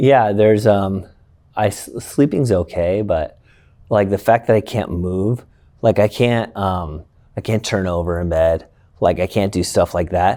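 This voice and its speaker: A man speaks quietly at a fairly slow pace, his tone dark and mellow. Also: fairly low pitch for a man, ordinary pitch variation. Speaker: school educator and baseball coach. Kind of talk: interview conversation.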